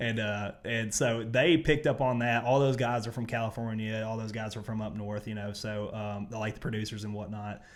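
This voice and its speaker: A man with a Southern US accent speaks at a medium pitch. His pace is moderate, with hardly any pauses. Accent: Southern country. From US South. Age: 30s. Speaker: athlete. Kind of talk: casual chat. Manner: animated.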